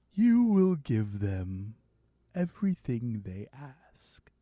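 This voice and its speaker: A man speaks very slowly in a put-on character voice, his pitch swinging very widely. The recording is very clean, with a silent background. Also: medium pitch for a man. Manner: spooky, ominous.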